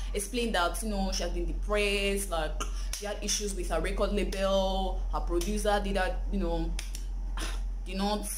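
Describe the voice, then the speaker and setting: Light background noise sits behind the speaker. A woman talks at a moderate pace. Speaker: entertainment gossip vlogger. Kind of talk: casual vlog chat. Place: home room.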